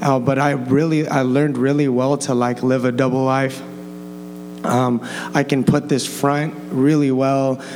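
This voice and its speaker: With an American accent, a man speaks fairly slowly at a medium pitch in a monotone, flat intonation and very even loudness, with audible room echo and noticeable background noise. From Los Angeles County, California. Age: 20s. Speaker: church student sharing testimony. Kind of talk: personal testimony before a congregation. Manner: casual, halting with repetitions and 'like'.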